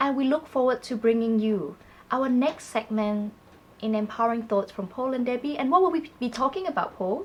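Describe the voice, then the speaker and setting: Speaking at a fairly quick pace, a woman has a Malaysian accent. Her high pitch carries lively intonation. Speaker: public speaking coach. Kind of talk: conversational tutorial.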